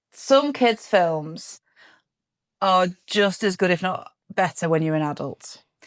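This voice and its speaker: Lively intonation in an English accent at a fairly slow pace, on a very clean recording with a silent background. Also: woman. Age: 40s. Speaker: podcast co-host. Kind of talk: casual chat.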